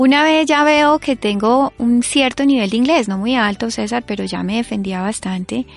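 A normal speaking voice, a woman at a fairly high pitch, moderate pace and hardly any pauses. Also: ordinary pitch variation. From Colombia, Florencia (Caquetá). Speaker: author and columnist. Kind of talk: testimony in a radio interview.

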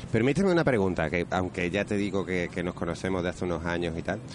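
Pitched very deep and low, this man's voice is clear. He speaks at a fairly quick pace. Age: 30s. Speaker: DJ. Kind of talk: casual chat.

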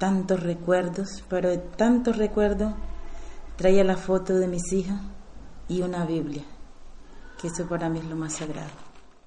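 A woman at a medium pitch speaks fairly slowly with fairly even intonation and long, frequent pauses, amid noticeable background noise and audible room echo. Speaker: migrant cook. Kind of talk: testimony.

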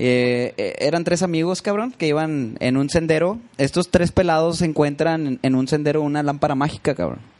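With a plain, everyday voice, a man speaks at a moderate pace and a fairly high pitch, using ordinary pitch variation and hardly any pauses over a quiet background. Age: 30s. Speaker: musician. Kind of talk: casual chat.

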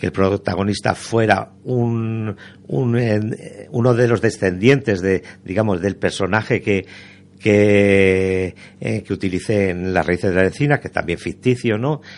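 Fairly slow speech from a man, fairly low in pitch, with ordinary pitch variation. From Spain, Toledo province and Zaragoza. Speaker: novelist. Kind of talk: radio interview. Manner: halting, many fillers.

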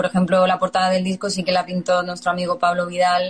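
Somewhat breathy and medium-pitched, a woman speaks at a fairly quick pace. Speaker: band musician. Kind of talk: casual interview.

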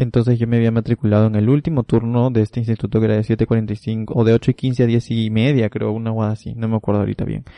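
A man's medium-pitched, dark, mellow voice, very fast and monotone with hardly any pauses, dry and close with no echo against a quiet background. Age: 20s. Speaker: podcast co-host. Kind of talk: casual chat.

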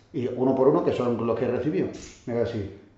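A man talks at a very fast pace in a medium pitch. The recording carries audible room echo and noticeable background noise. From Catalonia, Barcelona, Andalusian parents. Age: 40s. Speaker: flamenco dancer. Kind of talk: casual interview chat.

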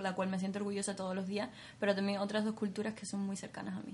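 A woman's flat, monotone voice against noticeable background noise. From Cuba. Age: 20s. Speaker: beauty pageant winner. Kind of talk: interview.

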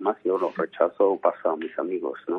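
A man speaks with music in the background. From Armenia. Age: 40s. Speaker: photographer and painter. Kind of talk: interview. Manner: halting.

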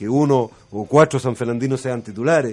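At a fairly quick pace, this is an ordinary speaking voice. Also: man. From Chile, San Fernando area. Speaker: former footballer, club technical manager. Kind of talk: radio interview.

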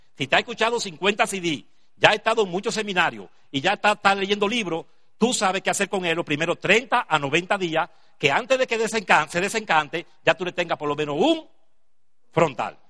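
In a raised, projected voice, a man speaks at a moderate pace with a high pitch, a bright, sharp tone, ordinary pitch variation, and a dry, close sound with no echo. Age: 60s. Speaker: business seminar speaker. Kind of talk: motivational talk.

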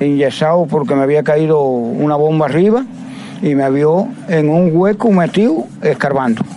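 With an eastern Cuban accent, a man talks at a fairly slow pace and a fairly high pitch amid noticeable background noise. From Cuba, Las Tunas province. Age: 70s. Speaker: water utility worker. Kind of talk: interview.

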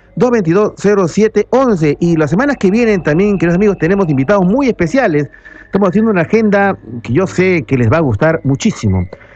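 The loudness stays very even while the intonation is lively. The pace is moderate, with noticeable background noise. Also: man, high pitch for a man. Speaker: radio host, ufologist. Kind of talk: radio talk show. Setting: radio studio.

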